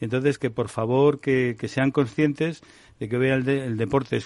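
Here a man talks at a fairly quick pace with fairly even intonation. It is a normal speaking voice. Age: 60s. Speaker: doctor and health technology executive. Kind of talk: radio panel discussion.

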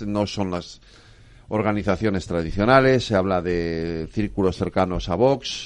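Here is a man with an unremarkable speaking voice. He talks at a fairly slow pace in a fairly low pitch. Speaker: radio host. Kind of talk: radio talk show.

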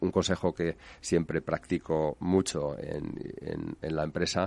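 A man's very deep, low voice over a quiet background. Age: 60s. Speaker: real estate developer. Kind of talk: interview. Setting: radio studio. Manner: hesitant with repetitions.

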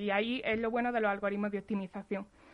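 A woman talks at a very fast pace. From Andalusia, Spain (Jaén). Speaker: data scientist. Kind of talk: interview.

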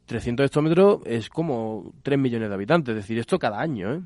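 Very fast and at a medium pitch with ordinary pitch variation, a man speaks over a quiet background, his sound dry and close with no echo. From Andalusia, Spain. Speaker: civil engineer at a water industry association. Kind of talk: radio interview.

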